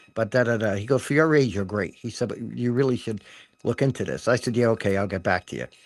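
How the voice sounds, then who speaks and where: Recorded very cleanly against a silent background, a man with an American accent, a medium pitch and vocal fry speaks at a fairly quick pace with ordinary pitch variation. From Rhode Island, US. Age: 70s. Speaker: martial arts teacher. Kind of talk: radio interview. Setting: radio studio.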